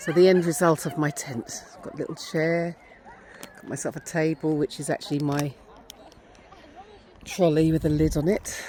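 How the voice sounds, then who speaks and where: Over noticeable background noise, a woman with an English accent and a very deep, low pitch talks at a moderate pace with fairly even intonation, long, frequent pauses, and big swings in loudness. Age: 50s. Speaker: lifestyle vlogger. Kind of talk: vlog narration. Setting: outdoors.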